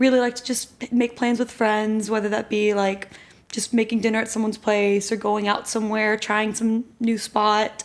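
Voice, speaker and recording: A woman with an American accent has a normal speaking voice and a fairly high pitch. She keeps a moderate pace and fairly even intonation. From Texas, Austin. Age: 20s. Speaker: grad student. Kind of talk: casual chat.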